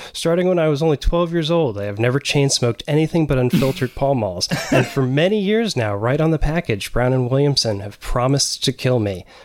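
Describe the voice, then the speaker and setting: A man with a fairly high pitch talks at a fairly quick pace with lively intonation and hardly any pauses. Noticeable background noise sits behind him. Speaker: book editor. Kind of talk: casual chat.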